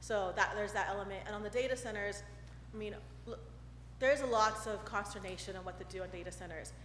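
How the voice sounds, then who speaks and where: Speaking with an American accent, a woman is heard over noticeable background noise and audible room echo. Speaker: state representative. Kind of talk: public comment at council meeting. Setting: council chamber podium mic. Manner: fast.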